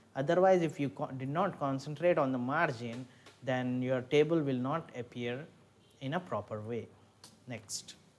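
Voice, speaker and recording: A man at a medium pitch talks at a moderate pace, using an ordinary speaking voice with ordinary pitch variation. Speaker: lecturer. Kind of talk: lecture.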